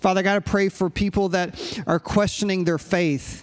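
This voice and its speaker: A man with an American accent, fairly even intonation, and a moderate pace. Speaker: pastor. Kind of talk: sermon; fervent, led group prayer in a sermon. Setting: church with live congregation. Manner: fervent, pleading prayer.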